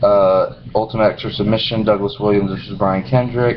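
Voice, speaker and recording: There is noticeable background noise as a man speaks at a moderate pace. His pitch is fairly low, and his intonation is lively. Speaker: wrestling DVD collector. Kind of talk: casual talk to camera.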